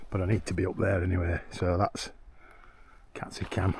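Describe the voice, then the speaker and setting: Very fast, somewhat breathy speech from a man with a very deep, low pitch and monotone, flat intonation. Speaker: hiking vlogger. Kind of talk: casual vlog narration. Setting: outdoors on fells. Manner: soft-spoken.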